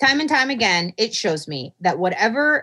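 Loud speech at a moderate pace, with very wide pitch swings and vocal fry. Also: woman. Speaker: mathematician podcast co-host. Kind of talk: casual chat.

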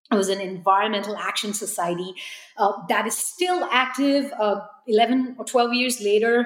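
The background carries noticeable noise. Over it, a woman talks at a moderate pace. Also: fairly high pitch for a woman, ordinary pitch variation. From India (New Delhi). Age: 30s. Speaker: reuse entrepreneur and designer. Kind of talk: interview.

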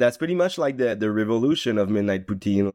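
A medium-pitched man with a Quebec accent speaks with lively intonation in a dry, close sound with no echo and a quiet background. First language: French. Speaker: community organizer and makerspace founder. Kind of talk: interview conversation. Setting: remote call.

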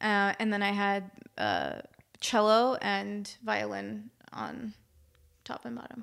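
Speaking at a very slow pace in an American accent, a woman leaves long, frequent pauses and makes big swings in loudness. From Maryland, US. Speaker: film composer and pianist. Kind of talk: interview conversation.

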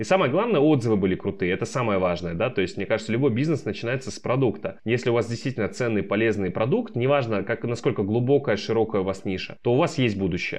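A man at medium pitch speaks at a very fast pace with hardly any pauses. The background is quiet. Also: lively intonation. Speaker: startup founder. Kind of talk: interview.

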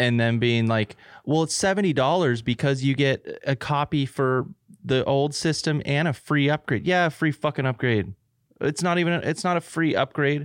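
A man with an American accent speaks in an ordinary speaking voice, fairly high in pitch, at a moderate pace. The sound is dry and close with no echo over a quiet background, with very even loudness and ordinary pitch variation. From United States. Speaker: podcast co-host. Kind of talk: casual chat.

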